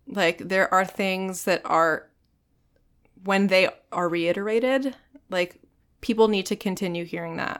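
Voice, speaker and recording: Speaking with an American accent, a woman uses an unremarkable speaking voice at a moderate pace, with a medium pitch and fairly even intonation. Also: very clean recording, silent background. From Virginia Beach, US. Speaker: actor and singer. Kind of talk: casual chat. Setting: studio.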